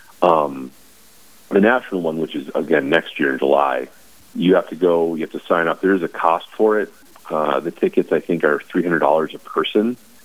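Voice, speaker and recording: Over noticeable background noise, a man with an American accent speaks at a moderate pace in a very deep, low voice with ordinary pitch variation. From North Dakota, US. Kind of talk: radio interview.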